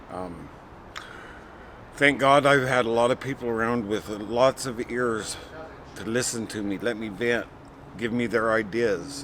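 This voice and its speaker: Against noticeable background noise, a man with medium pitch and ordinary pitch variation talks fairly slowly, with long, frequent pauses. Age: 50s. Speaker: program participant in addiction recovery. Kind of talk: testimony.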